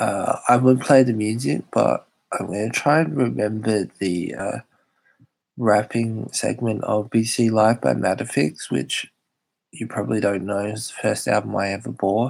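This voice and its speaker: A man speaks with an Australian accent at a fairly low pitch. His pace is fairly slow. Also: ordinary pitch variation. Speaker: YouTuber hosting live chat stream. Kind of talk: casual live stream chat. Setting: live stream.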